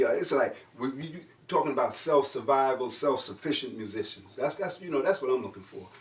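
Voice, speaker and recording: Noticeable background noise accompanies a man with a fairly high pitch and ordinary pitch variation. He speaks at a fairly quick pace in an animated tone with big swings in loudness. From New York. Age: 60s. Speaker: jazz trombonist and composer. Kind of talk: casual interview conversation. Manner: animated, repetitive.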